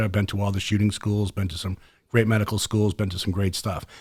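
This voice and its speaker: In a very clean recording with a silent background, a man with a Boston accent speaks at a fairly low pitch. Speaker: podcast host, former special forces soldier. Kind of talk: casual podcast chat. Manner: fast; passionate.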